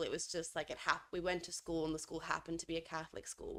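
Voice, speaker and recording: A woman talks at a fairly quick pace in an Australian accent. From Australia, Adelaide. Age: 20s. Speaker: podcast co-host. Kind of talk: casual chat.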